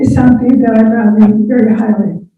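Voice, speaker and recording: A woman speaks in a fairly high pitch with an American accent. Room echo is audible. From San Jose, California. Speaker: former elected official. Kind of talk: speech at club meeting. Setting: video call.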